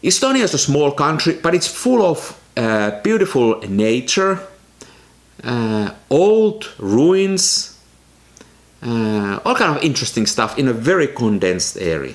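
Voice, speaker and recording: Speaking at a fairly slow pace, a man with a non-native accent and a fairly high pitch makes very wide pitch swings. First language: not English. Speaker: film photography YouTuber. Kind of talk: casual vlog talk to camera.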